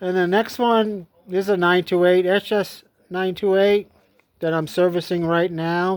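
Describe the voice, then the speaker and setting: A man talks at a high pitch and a moderate pace. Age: 60s. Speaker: small engine repair youtuber. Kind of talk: tutorial. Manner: halting.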